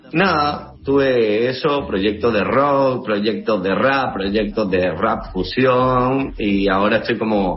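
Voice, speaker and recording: At a very slow pace, a man speaks with ordinary pitch variation amid audible room echo and noticeable background noise. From Seville, Spain; moved to Uruguay at 16. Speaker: musician. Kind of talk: interview. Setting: video call.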